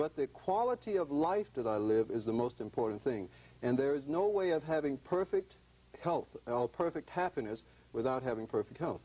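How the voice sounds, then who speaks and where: With a dark, mellow tone and a fairly high pitch, a man speaks at a moderate pace, his loudness very even while his pitch swings very widely. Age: 40s. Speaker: breatharian advocate. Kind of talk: TV talk show interview.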